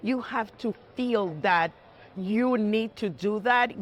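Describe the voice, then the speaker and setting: Speaking with a strong Puerto Rican accent, a woman sounds animated, with lively intonation. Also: very clean recording, silent background. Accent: heavy Puerto Rican Spanish. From Puerto Rico (south, near Ponce). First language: Spanish. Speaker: judge. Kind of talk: interview. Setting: stock exchange floor studio.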